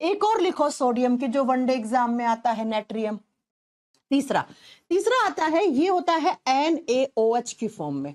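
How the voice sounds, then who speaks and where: The recording is dry and close, with no echo. A woman talks fairly slowly at a high pitch, her voice making very wide pitch swings. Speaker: chemistry teacher for exam prep. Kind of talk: online lecture.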